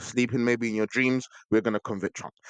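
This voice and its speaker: A man at a medium pitch speaks against a quiet background, the sound dry and close with no echo. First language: not English. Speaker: podcast host. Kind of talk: solo podcast monologue. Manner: casual, with stumbles and repetitions.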